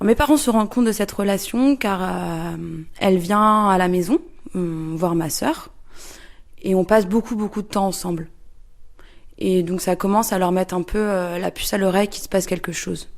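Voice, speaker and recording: In a very clean recording with a silent background, a woman at medium pitch speaks at a moderate pace with ordinary pitch variation and long, frequent pauses. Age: 30s. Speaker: interviewee. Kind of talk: testimony. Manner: halting, many hesitations.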